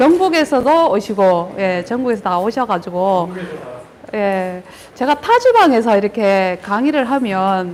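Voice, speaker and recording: A woman with a strong Gyeongsang accent at a very slow pace, lively in intonation, over noticeable background noise. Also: medium pitch for a woman. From Gyeongbuk, Korea (Daegu). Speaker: agricultural researcher, grape breeder. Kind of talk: lecture. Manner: hesitant, many fillers.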